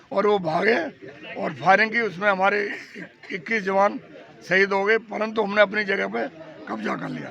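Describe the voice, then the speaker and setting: Noticeable background noise sits behind a man with a high pitch. His voice is raised and projected, with ordinary pitch variation. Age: 80s+. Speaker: war veteran. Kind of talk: interview.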